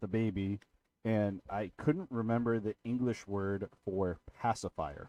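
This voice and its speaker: A man with a fairly low voice is recorded with a dry, close sound, no echo, and a quiet background. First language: Portuguese. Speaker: streamer playing card game. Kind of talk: casual chat. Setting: live stream with friends.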